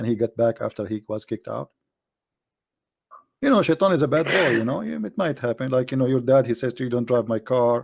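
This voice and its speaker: A man with an Arabic accent at a medium pitch, lively intonation and a fairly quick pace, broken by long, frequent pauses. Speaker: debater on Islam. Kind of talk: live online debate. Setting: voice chat room streamed live. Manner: animated, joking.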